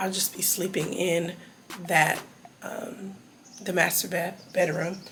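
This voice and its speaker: Amid noticeable background noise and audible room echo, a woman at a medium pitch talks at a very slow pace with monotone, flat intonation. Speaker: travel vlogger. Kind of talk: casual vlog talk to camera.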